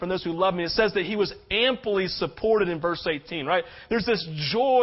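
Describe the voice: Someone does plain reading aloud, the pitch shifting in an ordinary way.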